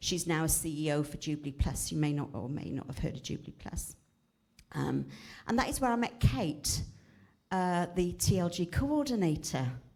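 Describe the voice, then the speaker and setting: With vocal fry and a very deep, low pitch, a woman talks at a moderate pace with lively intonation. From South Wales, Cardiff. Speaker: retired teacher, charity speaker. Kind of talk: church talk.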